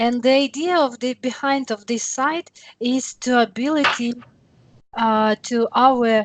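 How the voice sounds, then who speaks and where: Speaking with an English accent at a fairly slow pace, a woman uses a high pitch and ordinary pitch variation in a dry, close sound with no echo. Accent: non-native English. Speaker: software demonstrator. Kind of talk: tutorial.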